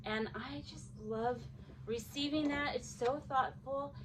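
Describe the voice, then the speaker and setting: A woman speaks fairly slowly with noticeable background noise around her. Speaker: crafting YouTuber. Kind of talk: casual unboxing vlog. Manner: animated.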